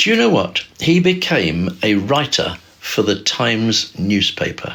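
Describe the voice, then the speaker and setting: Over noticeable background noise, a man at medium pitch speaks very slowly, his pitch swinging very widely. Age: 70s. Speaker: livestreamer. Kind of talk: casual livestream talk. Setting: livestream on camera. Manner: halting, loses track mid-sentence.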